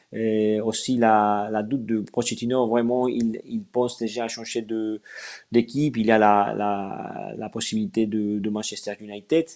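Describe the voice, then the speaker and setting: A man speaks at a fairly slow pace in a fairly low pitch with monotone, flat intonation over a quiet background. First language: Spanish (speaking French). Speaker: sports journalist. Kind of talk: live stream interview. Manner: halting.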